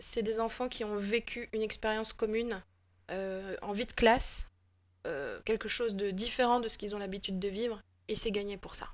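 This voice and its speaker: Her voice sits fairly high as this woman talks at a moderate speed. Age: 40s. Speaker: improv actor. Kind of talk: casual interview. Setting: remote call.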